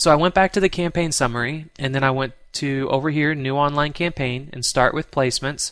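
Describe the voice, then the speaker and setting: A man's fairly high voice at a fairly quick pace, with ordinary pitch variation, on a very clean recording with a silent background. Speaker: online marketing trainer. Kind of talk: screen-recorded tutorial. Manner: casual with false starts; fast.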